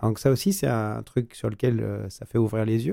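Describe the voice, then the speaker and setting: A man speaks at a moderate pace in a dark, mellow tone, on a very clean recording with a silent background. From France. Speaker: business owner. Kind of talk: radio interview. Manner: halting.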